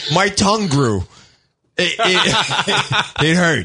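A man with a New York accent, high-pitched and swinging very widely in pitch. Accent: New York (Staten Island). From Staten Island, New York. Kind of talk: casual banter. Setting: studio.

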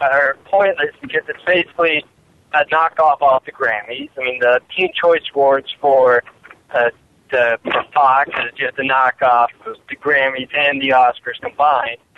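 A man speaks in a normal speaking voice. His pitch is fairly high and his intonation fairly even. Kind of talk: casual chat.

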